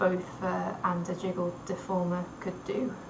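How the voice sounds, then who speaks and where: Speaking at a fairly slow pace, a woman with a medium pitch is heard with audible room echo and noticeable background noise. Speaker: university student. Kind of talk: recorded class presentation. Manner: halting, with pauses and repeated sounds.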